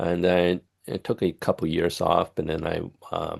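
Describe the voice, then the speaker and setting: A man speaks in a very deep, low pitch against a quiet background. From Taiwan. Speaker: career panelist, scientist. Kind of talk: panel presentation. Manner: halting, many fillers.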